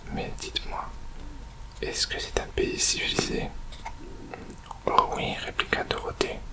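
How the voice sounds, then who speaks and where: Whispering at a very slow pace with long, frequent pauses, the voice has a soothing tone over noticeable background noise. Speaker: ASMR reader. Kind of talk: whispered story reading, ASMR audiobook. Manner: whispered, soothing.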